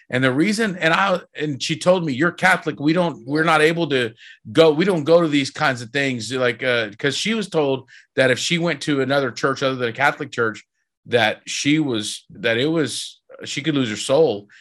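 Recorded very cleanly against a silent background, a man with an American accent speaks in an animated tone at a moderate pace, with a fairly high pitch and ordinary pitch variation. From Texas. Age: 40s. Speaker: rock singer. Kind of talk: interview testimony.

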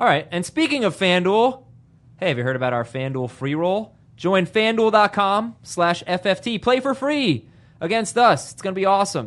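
Over a quiet background, a loud man talks at a moderate pace with very wide pitch swings. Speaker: fantasy football podcast host. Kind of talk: casual banter with fantasy football analysis. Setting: studio in a room with co-hosts around small table. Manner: loud, joking.

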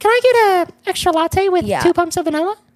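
A squeaky, put-on character voice at an extremely high pitch and a fairly quick pace. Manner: trying too hard.

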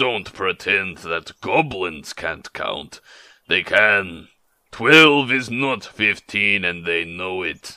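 A man puts on a growling character voice at a fairly low pitch. He delivers it at a very slow pace.

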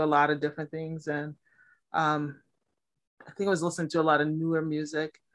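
A woman's fairly low-pitched voice with an American accent over a quiet background. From Milwaukee, Wisconsin, US Midwest. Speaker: poet and writing teacher. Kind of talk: casual interview.

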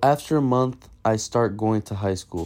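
A man speaks at a moderate pace with fairly even intonation. His voice is fairly low, with a dark, mellow tone. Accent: American. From Massachusetts and Brazil. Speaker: storyteller. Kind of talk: personal story reading.

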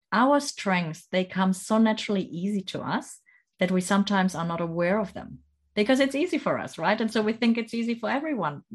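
A woman speaks at medium pitch with lively intonation, somewhat breathy. The background is quiet. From Germany, near Stuttgart. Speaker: leadership coach. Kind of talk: interview.

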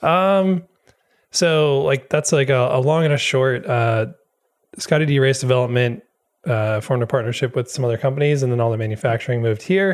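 With an American accent, the speaker uses a normal speaking voice at a fairly quick pace, with very even loudness and ordinary pitch variation. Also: man, medium pitch for a man. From Wisconsin, US. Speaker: drift parts business owner and drift industry figure. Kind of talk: casual chat.

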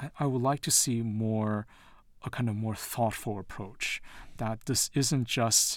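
A man with an American accent talks at a fairly slow pace in a plain, everyday voice, with medium pitch and fairly even intonation. The recording is very clean, with a silent background. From Taiwan and the US. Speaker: professor. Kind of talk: interview.

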